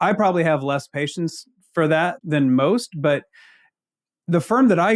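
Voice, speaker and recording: A man's fairly high voice with a slight Ozark accent and lively intonation, at a moderate pace on a very clean recording with a silent background. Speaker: accounting leadership consultant. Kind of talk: podcast interview.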